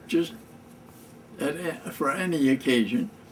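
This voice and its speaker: Amid noticeable background noise, a man with an American accent speaks very slowly with ordinary pitch variation. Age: 80s+. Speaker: war veteran. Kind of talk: casual talk to camera. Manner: slow, halting.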